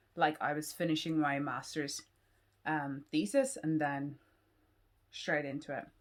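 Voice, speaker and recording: Her voice very deep and low in pitch, a woman talks at a moderate pace. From Ireland. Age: 20s. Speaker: PhD student and YouTuber. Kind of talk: casual Q&A vlog.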